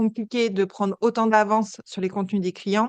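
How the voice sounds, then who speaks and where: Against a quiet background, a woman speaks at a fairly quick pace with monotone, flat intonation. The sound is dry and close with no echo. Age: 30s. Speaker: entrepreneur, agency founder. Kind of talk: podcast interview. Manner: hesitant, many fillers.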